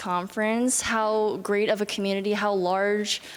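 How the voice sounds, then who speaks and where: A woman talks at a moderate pace with a fairly high pitch. Noticeable background noise is present. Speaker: youth climate activist. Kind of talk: panel discussion. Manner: halting.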